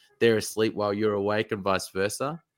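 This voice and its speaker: In an Australian accent, a man speaks at a medium pitch with monotone, flat intonation. The recording is very clean with a silent background. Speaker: basketball recruitment manager and former player. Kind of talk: interview.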